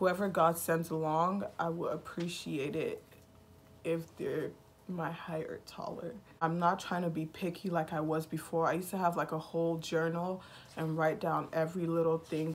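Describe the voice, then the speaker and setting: A woman at a fairly low pitch, monotone and flat in intonation, at a moderate pace. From Nigeria. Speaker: YouTuber. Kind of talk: casual chat.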